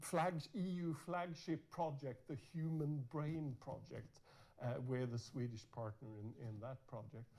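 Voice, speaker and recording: The voice is dark and mellow, somewhat breathy, and moves at a fairly slow pace. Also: man, fairly high pitch for a man, ordinary pitch variation. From Norway. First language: Norwegian. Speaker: university dean and researcher. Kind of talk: conference keynote talk. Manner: halting, many repetitions.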